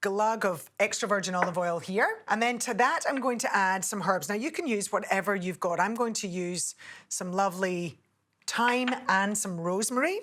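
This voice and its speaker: A woman with a Scottish accent, medium pitch, lively intonation and a moderate pace. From Scotland. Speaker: TV cook; presenter. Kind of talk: cooking tutorial. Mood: warm, cheerful. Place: studio. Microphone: lapel.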